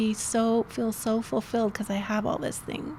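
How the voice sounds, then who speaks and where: A woman talks in an unremarkable speaking voice. Her pitch is fairly high and her pace is moderate. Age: 60s. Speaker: life coach. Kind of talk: interview.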